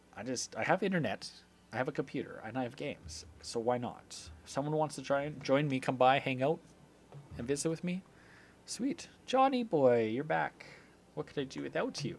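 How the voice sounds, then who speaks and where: In an Albertan accent, a man talks at a moderate pace and fairly high pitch. His intonation is lively. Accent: Canadian (Alberta). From Canada. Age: 30s. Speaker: video game streamer. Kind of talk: casual live-stream chat.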